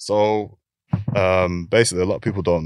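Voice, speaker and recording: A man's very deep, low voice with a Lancashire accent, monotone and flat, on a very clean recording with a silent background. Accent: Lancashire (Bolton) English. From northern England, Bolton. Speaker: professional footballer. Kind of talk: casual interview.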